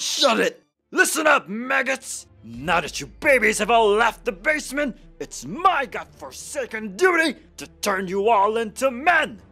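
Over faint music in the background, a man does a put-on character voice at an extremely high pitch, raised and projected, at a moderate pace. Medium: voice reel. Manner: shouting, gruff.

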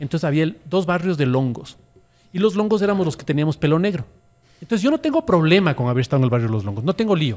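A man talks with very wide pitch swings. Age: 50s. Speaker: social media influencer. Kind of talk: casual chat. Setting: studio. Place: cafe. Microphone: studio mic.

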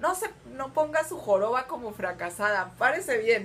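An animated tone over light background noise. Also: woman. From Mexico. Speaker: vlogger. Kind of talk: casual vlog monologue. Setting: recording on an iPad at home. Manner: animated, laughing often; spontaneous, unrehearsed. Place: home room. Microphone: webcam.

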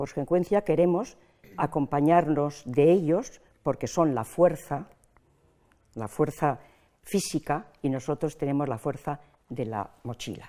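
Speaking at a fairly slow pace with long, frequent pauses, a woman uses a very deep, low pitch and a dark, mellow tone, her pitch varying in an ordinary way against a quiet background. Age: old. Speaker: pensioners' association president. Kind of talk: interview. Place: studio. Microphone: lapel.

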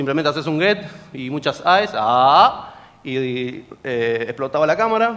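A man speaks with a fairly high pitch. His pitch swings very widely. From Argentina, General Pico, La Pampa; La Pampa, Argentina. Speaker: security researcher; presenter. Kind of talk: conference talk. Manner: fast. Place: hall.

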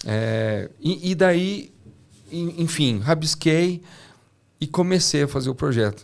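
A man speaks at a very slow pace with long, frequent pauses. His voice is fairly high for a man, with lively intonation. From Brazil, São José dos Campos; Brazil. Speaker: engineer and startup founder; podcast guest. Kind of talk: interview. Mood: reflective, sometimes somber. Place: studio. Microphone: studio mic.

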